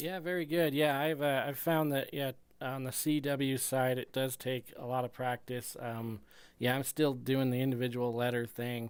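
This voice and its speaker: A plain, everyday voice from a man, medium in pitch, at a moderate pace with fairly even intonation, in a very clean recording with a silent background. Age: 40s. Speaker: amateur radio operator. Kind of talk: casual radio chat. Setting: ham radio transmission.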